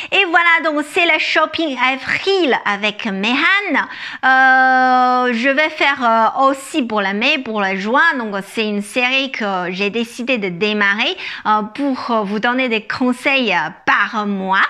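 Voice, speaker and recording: Speaking at a very slow pace with a Chinese accent, a woman uses a high pitch, a bright, sharp tone, and lively intonation. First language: Chinese (speaking French). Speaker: image consultant. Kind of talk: fashion haul video. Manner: halting, many fillers.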